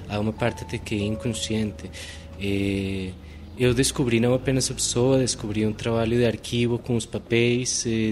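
A man at medium pitch with a Spanish accent. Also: ordinary pitch variation, moderate pace. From Colombia, Bogotá. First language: Spanish (speaking Portuguese). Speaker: literary researcher. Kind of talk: interview. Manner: mixes Spanish and Portuguese.

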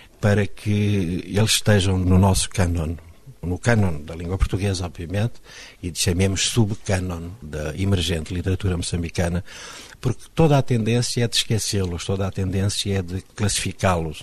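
A very deep, low, somewhat breathy male voice. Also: ordinary pitch variation, moderate pace. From Mozambique. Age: 50s. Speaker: poet. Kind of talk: interview.

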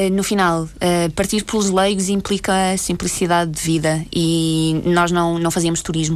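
Speaking at a fairly slow pace, a woman with a fairly low pitch delivers her words in a flat monotone. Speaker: former volunteer aid worker. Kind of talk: radio interview.

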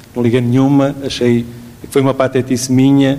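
A man talks with a European Portuguese accent at a medium pitch. His intonation is monotone and flat. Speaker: physician. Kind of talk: testimony. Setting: stage with audience.

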